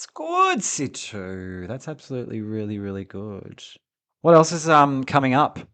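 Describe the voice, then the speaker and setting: This man speaks with an Australian accent. The background is quiet. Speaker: podcast co-host. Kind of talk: casual chat. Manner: articulate.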